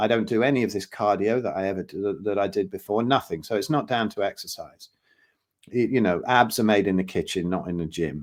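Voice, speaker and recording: A man speaks at a fairly quick pace in an ordinary speaking voice with ordinary pitch variation, against a quiet background. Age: 60s. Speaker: health consultant and drummer. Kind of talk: podcast interview.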